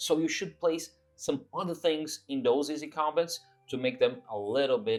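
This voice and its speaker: With music in the background, a man speaks at a moderate pace and medium pitch, his voice making very wide pitch swings. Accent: non-native. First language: not English. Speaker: tabletop RPG YouTuber. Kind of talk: casual monologue to camera. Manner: hesitant, with filler words.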